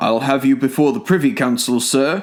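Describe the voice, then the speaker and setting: Here a man puts on a gruff character voice at a medium pitch. His intonation is lively and his pace moderate. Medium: read story. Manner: gruff, overbearing.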